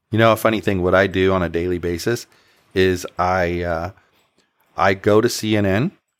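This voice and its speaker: With an ordinary speaking voice, a man talks at a moderate pace with ordinary pitch variation, the sound dry and close with no echo in a very clean recording against a silent background. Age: 50s. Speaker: podcast host, libertarian activist. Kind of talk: podcast interview.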